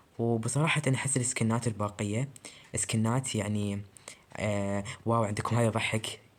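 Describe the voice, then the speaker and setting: This quiet voice keeps a moderate pace with fairly even intonation. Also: man. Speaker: gaming YouTuber. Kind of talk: casual gameplay commentary. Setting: recording alone at night. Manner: quiet, subdued voice.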